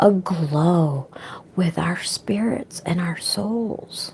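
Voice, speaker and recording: Lively intonation carries over noticeable background noise. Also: woman. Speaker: spiritual vlogger. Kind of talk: inspirational monologue. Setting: online video.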